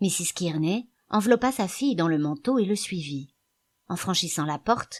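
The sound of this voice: Lively intonation marks an unforced reading voice set against a quiet background.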